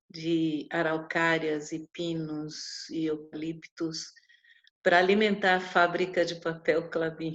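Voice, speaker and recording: A woman with a fairly low pitch talks at a very slow pace in a monotone, flat intonation. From Paraná, Brazil. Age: 60s. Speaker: traditional midwife. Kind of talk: interview. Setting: video call.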